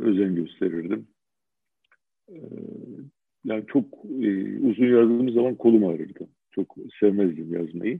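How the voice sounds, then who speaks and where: A man speaks at a fairly low pitch with lively intonation. His pace is fairly slow, with long, frequent pauses. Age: 60s. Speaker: retired judge. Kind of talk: interview. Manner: halting, many fillers.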